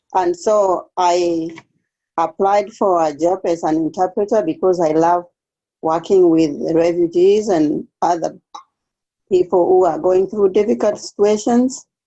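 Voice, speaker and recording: In an East African accent, a woman with a dark, mellow tone speaks fairly slowly at a medium pitch, her loudness very even and her pitch varying in an ordinary way. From Kenya. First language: Swahili. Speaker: refugee case aide. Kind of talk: interview.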